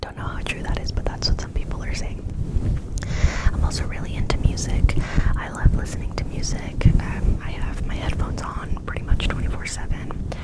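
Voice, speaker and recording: Whispering at a fairly quick pace, a woman speaks in an American accent amid noticeable background noise. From California, USA. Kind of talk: ASMR whisper ramble. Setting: close microphone, studio-like. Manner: whispered, soft-spoken.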